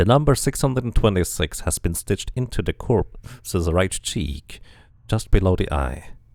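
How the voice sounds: At a fairly slow pace, a man's slightly mellow voice moves through big pitch swings.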